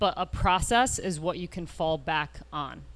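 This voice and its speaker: A woman's fairly low-pitched voice with vocal fry. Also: very clean recording, silent background. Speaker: golf coach. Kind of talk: live Q&A panel. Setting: outdoor porch with live audience.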